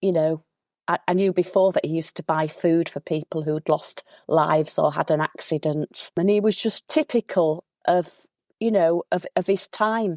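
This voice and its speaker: In a Yorkshire accent, a woman speaks at a moderate pace and a fairly low pitch, with a dry, close sound with no echo. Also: ordinary pitch variation. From Yorkshire, England. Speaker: local historian. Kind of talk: casual interview chat. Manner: animated.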